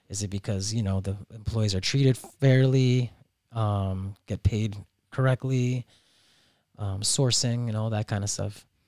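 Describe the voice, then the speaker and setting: Speaking at a fairly slow pace, a man with a fairly low pitch and a dark, mellow tone keeps his intonation fairly even in a very clean recording with a silent background. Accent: American. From Miami, Florida (Peruvian-born). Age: 30s. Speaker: restaurant owner. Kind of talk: casual chat.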